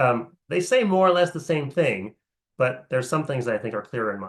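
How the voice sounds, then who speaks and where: The man's fairly high pitch swings very widely as he talks at a moderate pace. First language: French. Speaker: philosophy professor. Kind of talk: lecture. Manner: hesitant, many fillers.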